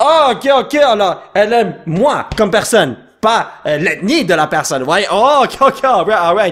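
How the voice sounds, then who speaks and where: Swinging very widely in pitch, a man speaks in a high voice. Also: fairly slow pace. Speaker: YouTube gamer. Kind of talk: gameplay commentary. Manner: animated.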